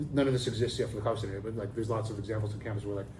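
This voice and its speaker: Amid audible room echo, a man speaks very fast in a monotone, flat intonation, with a dark, mellow tone and a somewhat breathy quality. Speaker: professor. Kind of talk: interview. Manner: halting, many fillers and restarts.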